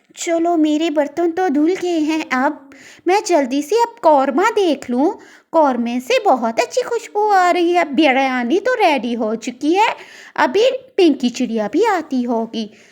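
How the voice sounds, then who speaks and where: In a cartoonish character voice, a woman speaks at a high pitch and a moderate pace. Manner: warm, homely.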